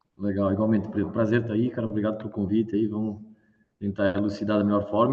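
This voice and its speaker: With a southern Brazilian accent, a man talks at a medium pitch. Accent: gaúcho (southern Brazilian). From southern Brazil, Rio Grande do Sul. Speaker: startup founder and CEO. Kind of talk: live interview. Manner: animated.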